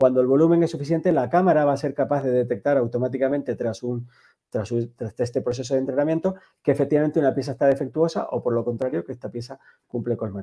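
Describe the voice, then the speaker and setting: A man's fairly high voice with a dark, mellow tone, ordinary pitch variation, and a very fast pace. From Canary Islands (Tenerife). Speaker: tech company executive. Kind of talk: interview. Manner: hesitant with repetitions.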